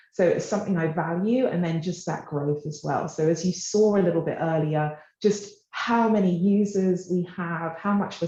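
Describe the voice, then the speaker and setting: At a moderate pace and with ordinary pitch variation, a woman talks in a dark, mellow, somewhat breathy voice. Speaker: tech company partnerships manager. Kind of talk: presentation. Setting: office.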